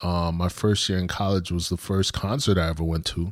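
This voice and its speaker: A voice in an American accent with fairly even intonation, on a very clean recording with a silent background. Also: man. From US Northeast (Brooklyn, New York). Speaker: podcast co-host. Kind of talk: casual chat.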